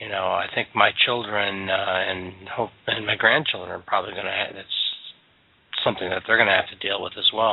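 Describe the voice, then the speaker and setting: Amid noticeable background noise, a man with fairly low pitch talks at a fairly quick pace, his intonation fairly even but his loudness swinging widely. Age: 60s. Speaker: podcast host. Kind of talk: casual chat.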